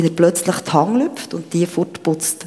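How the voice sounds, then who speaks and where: Noticeable background noise sits behind a woman's fairly low voice. She talks at a moderate pace with ordinary pitch variation. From Switzerland, canton of Bern. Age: 50s. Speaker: churchgoer sharing a personal story. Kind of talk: testimony. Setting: church stage with congregation.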